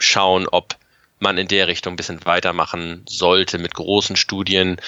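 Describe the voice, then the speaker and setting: Speaking fairly slowly, a man with a very deep, low voice keeps his intonation fairly even. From Germany. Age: 40s. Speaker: paramedic. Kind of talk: interview.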